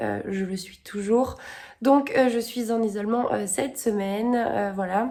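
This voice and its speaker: Speaking at a very slow pace, the woman has a fairly high pitch, a dark, mellow tone and fairly even intonation. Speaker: book vlogger. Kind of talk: casual vlog. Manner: hesitant, many fillers.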